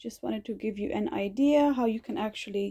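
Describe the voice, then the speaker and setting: Somewhat breathy, a woman speaks at a fairly high pitch in a dark, mellow tone with ordinary pitch variation. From Germany, India and England. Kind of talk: casual talk to camera. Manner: upbeat.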